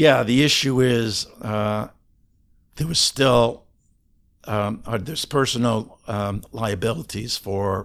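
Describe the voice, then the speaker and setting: Very slowly, a man speaks at a medium pitch with ordinary pitch variation. The recording is very clean, with a silent background. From Canada. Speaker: ADHD coach. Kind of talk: interview conversation.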